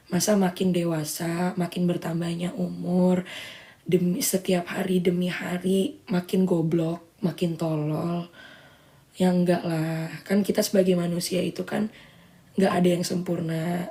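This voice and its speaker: A woman's fairly low-pitched voice at a very slow pace, with fairly even intonation. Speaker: social media livestreamer. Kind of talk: casual livestream chat. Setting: live stream.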